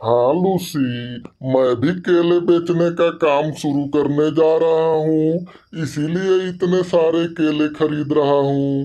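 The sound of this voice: In a cartoonish character voice at middle pitch, the speaker goes at a very slow pace.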